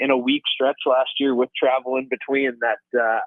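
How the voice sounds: The man's voice sits at a medium pitch, moving at a moderate pace in a dry, close sound with no echo.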